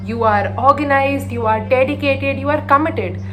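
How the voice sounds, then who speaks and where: Over noticeable background noise, a woman speaks with an Indian accent. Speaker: storyteller. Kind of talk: motivational story narration, mixing English and Hindi.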